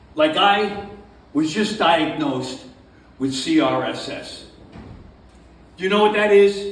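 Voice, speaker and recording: A high-pitched man at a very slow pace, with very wide pitch swings, long and frequent pauses, audible room echo and noticeable background noise. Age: 70s. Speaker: stand-up comedian. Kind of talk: stand-up. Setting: stage with audience at a winery. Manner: hyper, animated.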